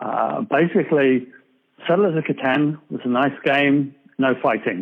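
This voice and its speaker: A man with an American accent, fairly high pitch and ordinary pitch variation, at a fairly slow pace. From England. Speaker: board game designer. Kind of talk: podcast interview.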